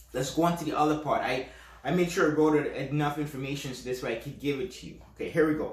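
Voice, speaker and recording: A man at a very fast pace and fairly high pitch, with fairly even intonation, big swings in loudness, audible room echo and noticeable background noise. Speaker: podcast host, self-hypnosis coach. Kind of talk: instructional podcast talk. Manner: casual, with fillers and restarts; stutters at times.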